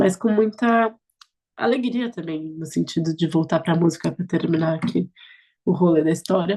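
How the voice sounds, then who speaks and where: This woman has a fairly low pitch and a dark, mellow tone with vocal fry, speaking at a moderate pace with ordinary pitch variation. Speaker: politician. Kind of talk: interview. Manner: animated.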